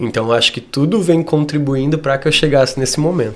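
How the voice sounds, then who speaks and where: A man's voice with noticeable background noise. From Brazil, Rio Grande do Sul (Torres). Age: 30s. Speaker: dance teacher. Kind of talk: interview. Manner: clear, articulate.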